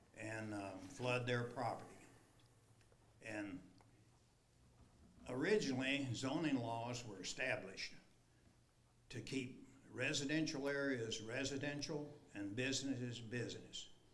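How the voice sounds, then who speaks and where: A man's medium-pitched voice at a moderate pace, with ordinary pitch variation, long, frequent pauses and audible room echo. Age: 80s+. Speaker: resident speaking at public hearing. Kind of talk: public comment at council meeting. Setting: city council meeting.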